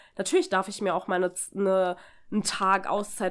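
The clip is a very clean recording with a silent background. A woman does the talking. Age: 20s. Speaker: podcast host. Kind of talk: casual chat. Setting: recording in co-host's apartment.

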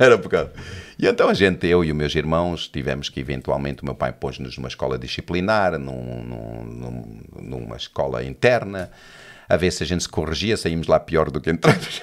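Against a silent background in a very clean recording, a man with a very deep, low pitch speaks at a moderate pace with lively intonation. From South Africa, Johannesburg (Portuguese family). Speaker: pastor. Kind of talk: casual chat.

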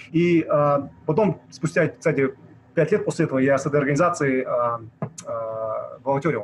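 Noticeable background noise under a man's fairly high pitch, moderate pace and ordinary pitch variation. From Kazakhstan, Almaty. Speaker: activist and blogger. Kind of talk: casual interview.

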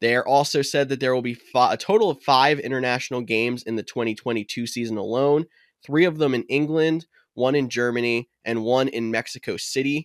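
A man with a plain, everyday voice at medium pitch and ordinary pitch variation, fairly quick in pace, in a very clean recording with a silent background. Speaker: fantasy football podcast host. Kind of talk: casual chat. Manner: jokey, laughs often.

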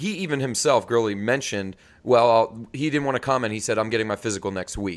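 On a very clean recording with a silent background, this man races along very fast with an American accent. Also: medium pitch for a man, ordinary pitch variation. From New York. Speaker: podcast co-host, football fan. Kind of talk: casual chat. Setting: video podcast recording.

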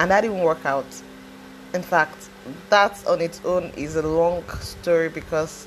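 Amid noticeable background noise, a woman with a fairly low pitch and fairly even intonation speaks at a fairly slow pace with long, frequent pauses. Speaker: podcaster. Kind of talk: personal testimony monologue. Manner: casual, hesitant with fillers.

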